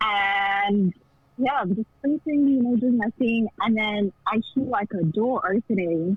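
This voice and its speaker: Speech comes at a fairly slow pace over noticeable background noise. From South Africa. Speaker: caller. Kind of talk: casual storytelling. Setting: phone call on loudspeaker. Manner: hesitant, many fillers.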